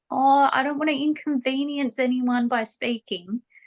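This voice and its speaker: A squeaky, put-on character voice from a woman, high in pitch, at a moderate pace. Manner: timid, self-effacing.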